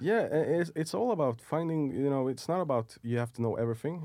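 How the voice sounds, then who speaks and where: A man talks at a fairly quick pace with lively intonation. His tone is dark and mellow. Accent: Swedish. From Sweden, Stockholm suburbs. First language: Swedish. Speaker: film and TV producer. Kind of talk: interview.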